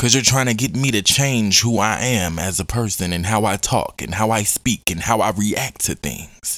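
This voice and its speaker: An animated man with a fairly low pitch and ordinary pitch variation at a moderate pace, in a very clean recording with a silent background and a dry, close, echo-free sound. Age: 20s. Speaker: podcast host. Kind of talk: casual monologue.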